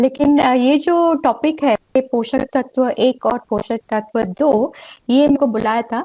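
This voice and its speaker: A woman speaks at a high pitch with ordinary pitch variation. She leaves hardly any pauses. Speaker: pediatrician. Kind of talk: lecture. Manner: halting.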